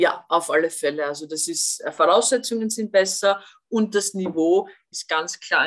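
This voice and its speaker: Using a plain, everyday voice, a woman speaks at a fairly slow pace with ordinary pitch variation. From Austria. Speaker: former national football player and TV pundit. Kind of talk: podcast interview.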